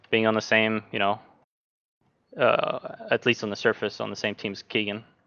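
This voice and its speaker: A man speaks in a Norwegian accent at a medium pitch. His pace is fairly quick. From Norway. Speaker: sim racing driver. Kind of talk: casual chat.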